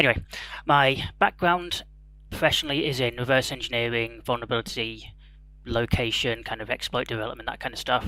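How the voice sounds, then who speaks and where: A man talks at a very fast pace. He speaks with an English accent. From England. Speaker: security researcher. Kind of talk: conference talk.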